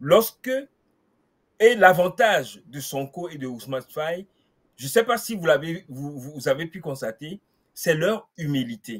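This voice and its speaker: Against a quiet background, a man with a fairly high pitch talks at a very slow pace with long, frequent pauses, very wide pitch swings and big swings in loudness. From Togo. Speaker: political activist; guest commentator. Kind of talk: panel discussion. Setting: video call. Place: home room.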